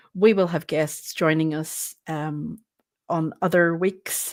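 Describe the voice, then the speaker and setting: In a very clean recording with a silent background, a woman with a Northern Irish accent speaks very slowly in a fairly low voice with ordinary pitch variation. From Northern Ireland. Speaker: co-host. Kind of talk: live stream chat.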